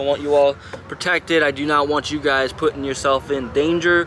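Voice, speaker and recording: Noticeable background noise sits behind a man whose voice is pitched fairly high. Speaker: vlogger. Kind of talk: casual vlog talk to camera.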